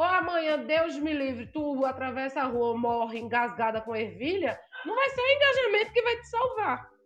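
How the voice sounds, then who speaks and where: Her high voice making very wide pitch swings, a woman talks at a moderate pace with hardly any pauses. There is noticeable background noise. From Brazil, Northeast. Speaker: blogger and influencer. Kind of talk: casual interview chat.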